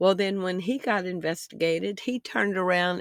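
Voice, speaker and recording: A woman with a Southern US accent speaks at medium pitch in a very clean recording with a silent background and dry, close sound with no echo. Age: 60s. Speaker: online news commentator. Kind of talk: vlog commentary. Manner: rambling, conversational.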